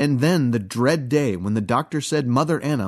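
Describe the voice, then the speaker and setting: An ordinary speaking voice over a quiet background. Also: man. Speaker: podcast narrator reading Masonic bulletin. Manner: measured, formal, earnest.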